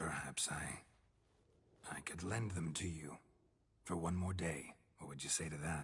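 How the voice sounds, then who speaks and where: Using a put-on character voice, a man talks at a moderate pace in a very deep, low pitch, with long, frequent pauses. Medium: video game. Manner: dry, laconic.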